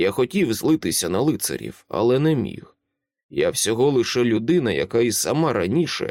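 Lively intonation from an unforced reading voice, quiet in the background.

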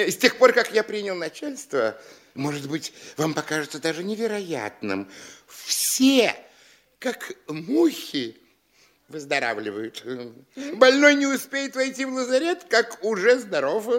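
A put-on character voice, fairly bright in tone, with big pitch swings and a fairly slow pace. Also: man, high pitch for a man.

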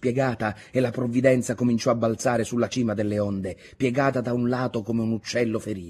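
The speaker does plain reading aloud with fairly even intonation.

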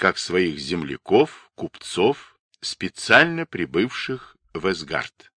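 The background stays quiet. A natural voice reads the text aloud.

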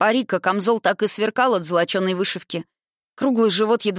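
Reading aloud in a natural voice, quiet background

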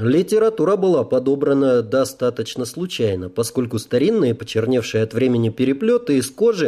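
Here, a voice is reading aloud in a natural voice.

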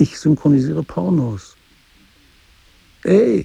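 In a put-on character voice, a man speaks slowly with a dark, mellow, gravelly tone, a husky, rough edge and vocal fry. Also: fairly high pitch for a man, lively intonation.

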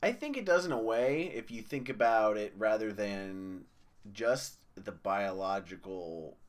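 With lively intonation, a man speaks at a very slow pace and a fairly low pitch. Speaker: podcast co-host. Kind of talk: casual chat. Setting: live stream.

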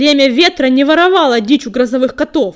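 A woman puts on a character voice at a high pitch, hissing and growling. She moves along at a fairly quick pace. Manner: hissing, angry, indignant.

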